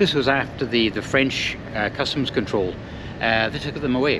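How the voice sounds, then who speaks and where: With ordinary pitch variation, a man talks at a fairly quick pace over noticeable background noise. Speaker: travel vlogger. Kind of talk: casual vlog chat. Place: boat. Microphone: phone near.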